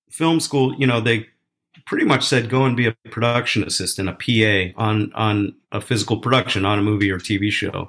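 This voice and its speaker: A man with an American accent and a plain, everyday voice, medium in pitch, with ordinary pitch variation at a moderate pace. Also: very clean recording, silent background. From Philadelphia, US. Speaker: film studio president. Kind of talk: interview. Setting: podcast interview.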